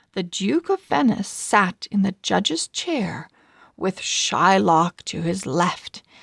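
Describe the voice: Words are read out plainly. It is plain reading aloud.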